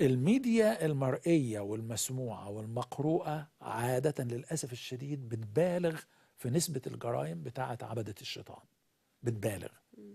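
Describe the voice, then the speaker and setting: A man with a dark, mellow tone and a somewhat breathy voice speaks at a moderate pace over a quiet background. His intonation is lively, with big swings in loudness. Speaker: pastor; guest pastor. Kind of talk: religious teaching in a live interview. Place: studio. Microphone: lapel.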